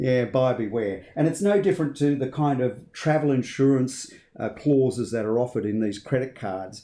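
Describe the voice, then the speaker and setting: With an Australian accent, a man speaks at a moderate pace and medium pitch, his tone dark and mellow and his intonation lively. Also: hardly any pauses. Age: 50s. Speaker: finance commentator. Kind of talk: casual discussion.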